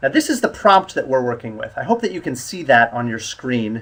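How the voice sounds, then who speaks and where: Speaking at a medium pitch, a man has an American accent. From US. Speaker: English test instructor. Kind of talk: online lesson. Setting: live stream.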